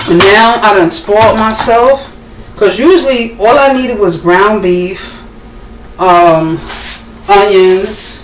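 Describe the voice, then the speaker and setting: A woman at a very slow pace with long, frequent pauses and very even loudness, amid audible room echo and noticeable background noise. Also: medium pitch for a woman, ordinary pitch variation. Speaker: home cooking vlogger. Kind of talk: casual cooking tutorial. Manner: casual, halting with fillers.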